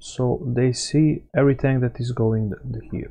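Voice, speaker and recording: At a fairly slow pace, a man with a non-native accent talks at medium pitch with ordinary pitch variation. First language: not English. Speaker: gaming YouTuber. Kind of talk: gameplay commentary. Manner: halting.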